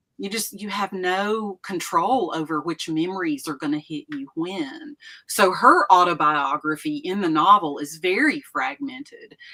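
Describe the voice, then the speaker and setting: At a fairly slow pace, a woman speaks at medium pitch with very wide pitch swings. Her loudness swings widely too. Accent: Appalachian. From East Tennessee. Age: 60s. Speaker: retired professor and author. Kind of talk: casual interview chat.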